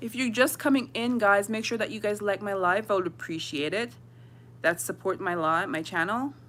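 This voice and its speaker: The recording is very clean over a silent background. In it, a woman talks with lively intonation. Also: medium pitch for a woman. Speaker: fasting vlogger. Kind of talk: casual livestream chat. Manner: fast.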